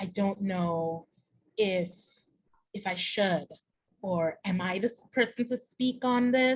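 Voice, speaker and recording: A woman's somewhat breathy voice, medium in pitch, with ordinary pitch variation. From Trinidad and Tobago. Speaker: entrepreneur, diversity and inclusion consultant. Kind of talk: interview answer.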